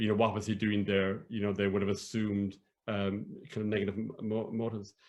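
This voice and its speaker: A man with a southern Irish accent, fairly low pitch, flat monotone intonation, and a fairly quick pace. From Ireland, County Cork. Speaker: academic and storyteller. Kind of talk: interview conversation. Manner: halting.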